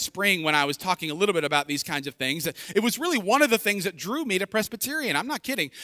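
In a dry, close recording with no echo, a man uses a raised, projected voice with a bright, sharp tone and very wide pitch swings. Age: 40s. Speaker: pastor. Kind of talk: sermon. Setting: church.

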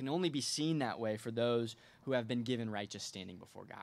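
Here a man speaks in an ordinary speaking voice. His pitch is medium and his pace moderate. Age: 20s. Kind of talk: sermon.

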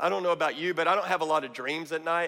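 A man speaks at a very fast pace in a fairly high pitch. His pitch variation is ordinary. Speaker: guest preacher. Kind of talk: sermon. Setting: church with congregation. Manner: animated; rhetorical, calling out to the congregation.

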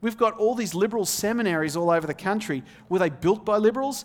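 An Australian-accented man speaks with a high pitch and lively intonation. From Australia, outback. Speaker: visiting preacher, seminary student. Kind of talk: sermon. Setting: church pulpit.

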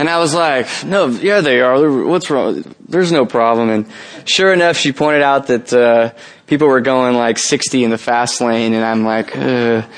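A man talks at a moderate pace in a medium pitch with ordinary pitch variation. His loudness stays very even throughout. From US West Coast, San Jose, California. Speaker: campus ministry leader, guest preacher. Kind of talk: sermon. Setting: church service with congregation.

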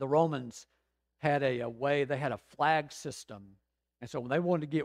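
With a plain, everyday voice, a man speaks at a fairly high pitch and fairly even intonation, the sound dry and close with no echo against a quiet background. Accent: American. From Georgia, US South. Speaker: pastor. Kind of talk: sermon.

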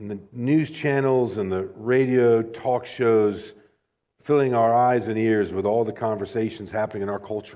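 This man has a dark, mellow tone at a medium pitch. He keeps a moderate pace and a fairly even intonation. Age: 40s. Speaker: pastor. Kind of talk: sermon. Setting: church.

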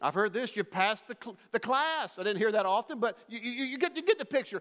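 With a warm tone, a man speaks in very wide pitch swings. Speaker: visiting denominational leader and preacher. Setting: church with congregation.

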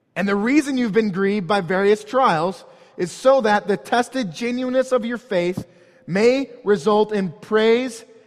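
Amid noticeable background noise, a man speaks in a high pitch. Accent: American. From St. Louis area, Missouri (North County). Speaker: pastor. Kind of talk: sermon.

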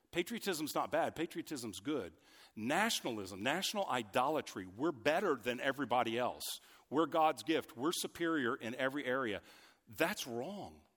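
Recorded very cleanly against total silence, the voice is loud, swings very widely in pitch, and moves at a moderate pace. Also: man, fairly high pitch for a man. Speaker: pastor. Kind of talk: sermon. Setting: church.

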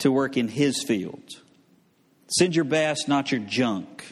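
In a Southern US accent, a man speaks very slowly at a fairly high pitch. His pitch varies in an ordinary way, and there is audible room echo. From US South. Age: 40s. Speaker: pastor. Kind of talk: sermon. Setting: church.

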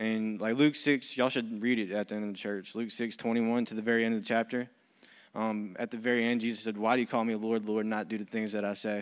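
A man with an American accent speaks at a fairly quick pace in a medium pitch, his intonation flat and monotone, on a very clean recording with a silent background. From US, military family. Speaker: recovery program staff. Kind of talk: testimony. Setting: church.

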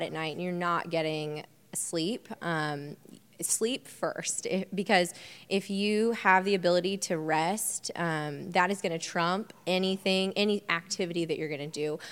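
This woman has an American accent and an unremarkable speaking voice. She talks at a moderate pace in a fairly low pitch with ordinary pitch variation. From Indiana (Bloomington). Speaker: fitness and nutrition coach. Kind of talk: panel talk.

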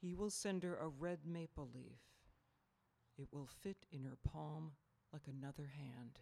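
Long, frequent pauses break up a woman's very deep, low voice, which has ordinary pitch variation and a fairly slow pace. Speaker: poet and artist. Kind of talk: poem read aloud, slowly, in a church gathering. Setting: church congregation. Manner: slow, measured, deliberate.

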